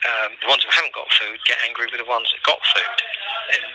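The speech moves at a fairly quick pace with a dry, echo-free sound and noticeable background noise. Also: man. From London. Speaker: prisoner. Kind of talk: phone call testimony.

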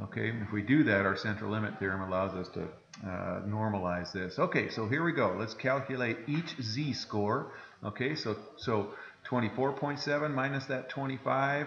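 The speech moves at a fairly slow pace, with audible room echo and light background noise. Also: man. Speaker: math teacher. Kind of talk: lecture. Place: classroom.

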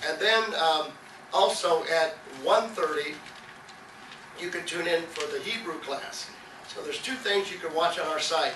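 A man speaks at a high pitch and a fairly slow pace, with ordinary pitch variation. Audible room echo and light background noise come through. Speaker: pastor. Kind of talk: sermon. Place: church.

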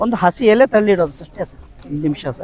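A man speaks with lively intonation. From India, Puttur, Dakshina Kannada. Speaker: farmer and inventor selling his product. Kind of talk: sales pitch and product demonstration.

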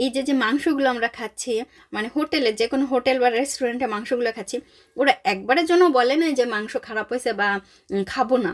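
A woman speaks at a high pitch with ordinary pitch variation. The recording is very clean with a silent background and a dry, close sound with no echo. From Bangladesh. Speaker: vlogger. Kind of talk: casual vlog narration.

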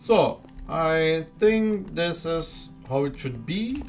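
A man with a non-native accent speaks with lively intonation. Music plays in the background. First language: Dutch. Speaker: gamer. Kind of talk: casual gameplay commentary.

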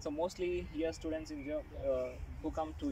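A man speaks over noticeable background noise. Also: dry sound with no echo. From India, Hyderabad. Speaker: master's student. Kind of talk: casual interview. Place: garden. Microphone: camera far.

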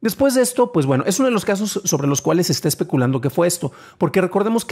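A man speaks with a Mexican accent. The background is quiet. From Mexico. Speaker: tech news podcast host; tech news host. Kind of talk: news reading and commentary. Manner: stammering at times; conversational, with fillers. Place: home room. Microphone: studio mic.

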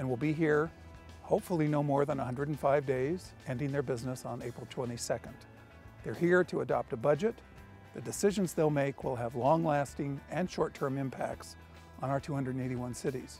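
Faint music plays behind a man speaking at a moderate pace with ordinary pitch variation, the sound dry with no echo. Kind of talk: policy update to camera. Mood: earnest, measured. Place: street. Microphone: lapel.

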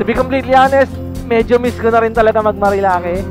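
Clear music plays in the background behind a man whose voice sounds dry, with no echo. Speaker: motovlogger. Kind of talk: casual vlog chat. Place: motorbike. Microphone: helmet.

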